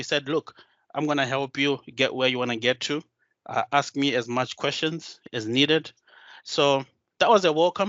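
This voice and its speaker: Here a man talks with a Zimbabwean accent at a moderate pace. His pitch is fairly high, with ordinary variation. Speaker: solution designer and tech community speaker. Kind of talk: conference talk. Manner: hesitant, many filler sounds.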